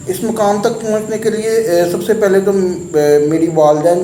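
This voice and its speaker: Noticeable background noise runs under the voice. The pitch varies in an ordinary way. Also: man. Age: 30s. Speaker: school IT in-charge. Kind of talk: personal life story vlog.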